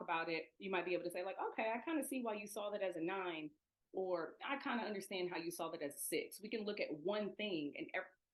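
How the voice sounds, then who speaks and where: A woman with an American accent, medium in pitch, lively in intonation, at a very fast pace. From US Midwest, Toledo, Ohio. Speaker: education equity trainer. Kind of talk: online presentation.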